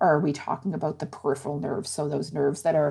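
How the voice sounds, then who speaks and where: A woman speaks in a Nova Scotian accent with a very deep, low pitch. Vocal fry runs through her voice. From rural Antigonish County, Nova Scotia. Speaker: rheumatologist and medical professor. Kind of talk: explanatory interview.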